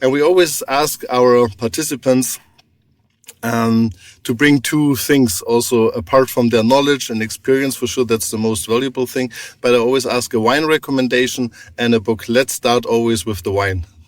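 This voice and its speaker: A man at a medium pitch with a German accent, ordinary pitch variation and a moderate pace. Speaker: podcast host. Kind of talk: interview.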